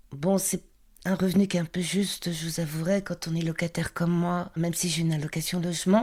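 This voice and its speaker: A woman talks at a moderate pace and a fairly low pitch, her intonation fairly even, with noticeable background noise present. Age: 60s. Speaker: market trader. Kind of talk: testimony.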